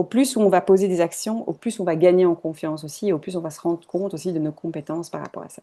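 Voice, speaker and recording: A woman's very fast speech with hardly any pauses, fairly low pitch, a dark, mellow tone, ordinary pitch variation and big swings in loudness. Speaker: holistic coach. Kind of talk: online masterclass.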